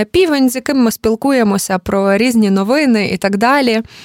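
At a moderate pace comes an unremarkable speaking voice, recorded with a dry, close sound and no echo. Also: woman. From Ukraine, Lviv. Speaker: journalist and cultural manager. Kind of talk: interview conversation.

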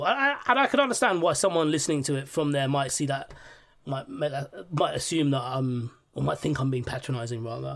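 Here a man with a London accent has a fairly high pitch and ordinary pitch variation at a moderate pace. The recording is very clean with a silent background. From West London, England. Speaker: podcast guest. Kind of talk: casual chat.

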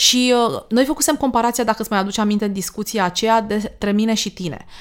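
A woman uses a normal speaking voice, fairly high in pitch, with fairly even intonation. The recording is very clean, with a silent background. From Romania, Danube region. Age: 40s. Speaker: podcast host. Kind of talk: casual chat.

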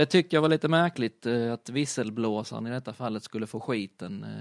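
Speaking in an unremarkable speaking voice at medium pitch, a man keeps a moderate pace with ordinary pitch variation. The background is quiet, and the sound is dry and close with no echo. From southern Sweden (Skåne, Kristianstad area). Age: 30s. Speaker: rally driver and motorsport retailer. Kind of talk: casual interview.

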